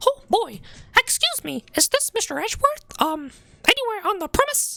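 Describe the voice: In a put-on character voice, the speaker squeaks at an extremely high pitch with very wide pitch swings and a moderate pace.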